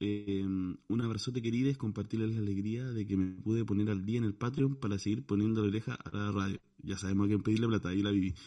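Speaking in a Chilean accent, a man with a fairly low pitch and a dark, mellow tone talks at a very fast pace with hardly any pauses and fairly even intonation. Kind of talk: casual chat.

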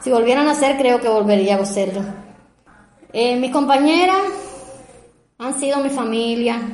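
With audible room echo, a woman talks at a moderate pace in a high voice with ordinary pitch variation and long, frequent pauses. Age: 50s. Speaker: biological lab manager. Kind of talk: testimony. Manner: halting.

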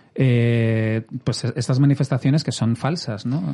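The speaker is a man whose voice is somewhat breathy. His tone comes across as dark and mellow. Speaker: podcast host. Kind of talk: casual chat.

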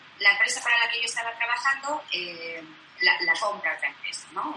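Noticeable background noise sits behind the speech. The intonation is lively. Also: woman. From Basque Country, Vitoria. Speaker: crochet artisan. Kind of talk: interview.

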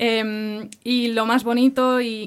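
A woman's fairly high, flat, monotone voice over noticeable background noise. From Barcelona, Catalonia, Spain. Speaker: campus ministry worker. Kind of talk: interview.

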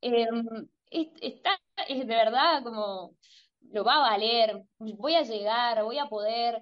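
A woman speaks at a very slow pace with long, frequent pauses, her fairly high pitch varying in an ordinary way. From Argentina. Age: 20s. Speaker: singer-songwriter. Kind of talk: interview. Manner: halting, many repeated words and fillers.

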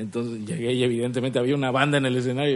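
A man speaks over noticeable background noise. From Cancún, Mexico. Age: 20s. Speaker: stand-up comedian. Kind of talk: casual chat.

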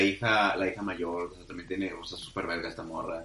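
A man at a fairly quick pace, with audible room echo and music in the background. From Monterrey, northern Mexico. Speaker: podcast co-host. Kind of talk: casual chat.

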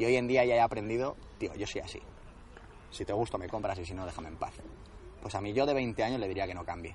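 Through noticeable background noise, a man talks at a very fast pace broken by long, frequent pauses. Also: medium pitch for a man, ordinary pitch variation, big swings in loudness. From Spain, Madrid region (Alcalá de Henares). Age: 20s. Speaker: endurance sports coach. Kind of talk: interview. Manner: halting.

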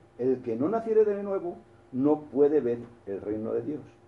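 Here a man speaks at a fairly slow pace. His tone is dark and mellow. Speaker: preacher. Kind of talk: sermon. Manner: halting.

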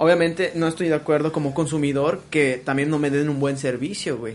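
Talking rather quickly, a man uses a fairly high pitch. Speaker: podcast host. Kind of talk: casual chat.

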